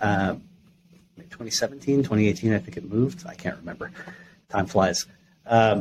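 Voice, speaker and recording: A plain, everyday voice speaks with an American accent. The intonation is lively. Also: man. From New York. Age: 30s. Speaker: gaming industry executive and startup advisor. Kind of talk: podcast interview.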